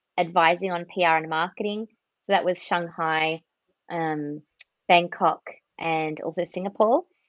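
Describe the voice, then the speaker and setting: With an Australian accent, a woman speaks at a moderate pace and a fairly low pitch, her intonation fairly even, the sound dry and close with no echo over a quiet background. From Australia, near Melbourne. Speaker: marketing and communications executive. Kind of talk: podcast interview.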